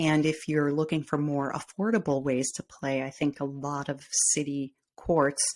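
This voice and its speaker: A woman with a Midwestern US accent speaks fairly slowly in a very deep, low voice with monotone, flat intonation, in a very clean recording with a silent background. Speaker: podcast host. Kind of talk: solo podcast talk, tips. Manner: casual, with many fillers.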